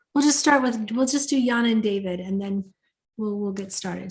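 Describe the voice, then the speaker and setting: A woman talks at a fairly quick pace. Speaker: webinar host. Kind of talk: casual chat. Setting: video call. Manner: fast.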